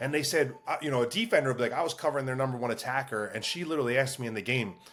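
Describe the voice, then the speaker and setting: This man talks very fast in an animated tone, at a medium pitch with ordinary pitch variation. There is noticeable background noise. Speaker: lacrosse coach. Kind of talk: casual chat. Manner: loud.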